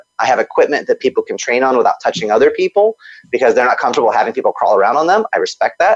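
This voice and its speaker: A man rattles off his words very fast, the sound dry and close with no echo. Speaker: kung fu instructor and author. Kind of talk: interview.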